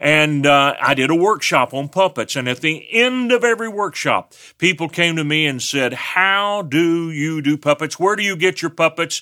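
In a West Texas accent, a man talks at a moderate pace with hardly any pauses, his fairly high voice bright and sharp in tone, his intonation lively, and the sound dry and close with no echo. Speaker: teacher. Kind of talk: sermon.

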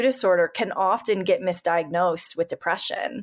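A woman with an American accent at a fairly quick pace, with ordinary pitch variation, on a very clean recording with a silent background. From Northern California. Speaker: alpinist and climate activist. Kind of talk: casual interview conversation. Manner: extroverted, energetic.

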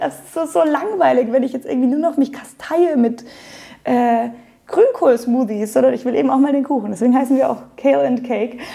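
At a fairly quick pace, a woman speaks in a high voice with big swings in loudness. There is noticeable background noise. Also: ordinary pitch variation. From Germany, Munich (Bavaria). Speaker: yoga teacher and studio owner. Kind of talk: interview. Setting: yoga studio.

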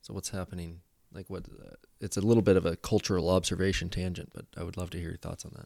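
A very fast pace and a dark, mellow tone with big swings in loudness. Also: man, very deep, low pitch for a man. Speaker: podcast host. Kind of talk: casual conversational interview. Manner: animated, playful.

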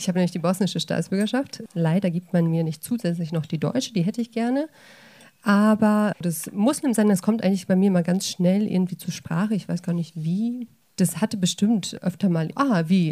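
Her voice is somewhat breathy, with a dark, mellow tone at medium pitch. The woman speaks at a moderate pace with ordinary pitch variation. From Sauerland, Germany. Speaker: panel guest. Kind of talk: panel discussion.

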